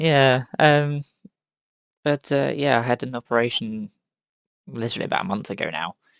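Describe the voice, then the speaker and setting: With lively intonation and a moderate pace, a man speaks in a dry, close sound with no echo. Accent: southern English. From southern England. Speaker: podcast host. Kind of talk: casual chat.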